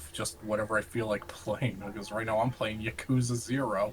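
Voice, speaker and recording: Noticeable background noise sits behind a man's voice. He speaks at a moderate pace, medium in pitch and fairly even in intonation. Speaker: gaming YouTuber. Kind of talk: casual chat.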